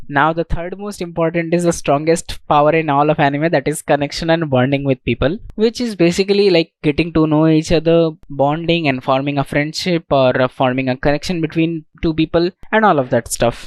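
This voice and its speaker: A man talks with an Indian accent. He hardly pauses at all. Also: fairly high pitch for a man, ordinary pitch variation, fairly quick pace. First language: Indian language, not English. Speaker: self-improvement YouTuber. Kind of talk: tutorial talk to camera.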